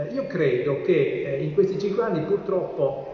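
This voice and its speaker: Audible room echo and noticeable background noise around a man's speech. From Turin, Italy. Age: 50s. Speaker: engineer and city councillor, mayoral candidate. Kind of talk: political debate.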